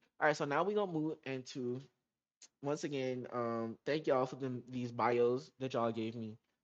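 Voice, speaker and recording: A man at a medium pitch, with ordinary pitch variation and a moderate pace. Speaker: podcast host. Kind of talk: casual solo podcast monologue. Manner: halting, stumbles over words.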